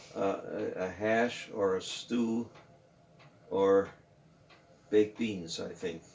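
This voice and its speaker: A man with an American accent talks at a very slow pace, broken by long, frequent pauses. His intonation is fairly even, and noticeable background noise runs underneath. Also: fairly low pitch for a man. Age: 80s+. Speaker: World War II veteran. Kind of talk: interview answer.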